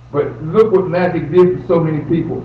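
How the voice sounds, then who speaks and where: In an American accent, a man with a high voice sounds animated and lively in his intonation, with audible room echo and noticeable background noise. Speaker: motivational speaker. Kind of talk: seminar talk.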